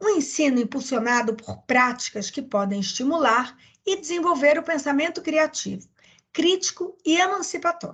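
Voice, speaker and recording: A woman talks at a moderate pace with very wide pitch swings. The background is quiet. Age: 50s. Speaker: master's researcher. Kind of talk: research presentation. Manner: hesitant with fillers.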